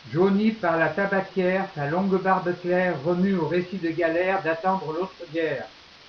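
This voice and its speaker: Over noticeable background noise, a man with a high pitch talks at a moderate pace with fairly even intonation and hardly any pauses. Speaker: slam poet. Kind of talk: poetry reading.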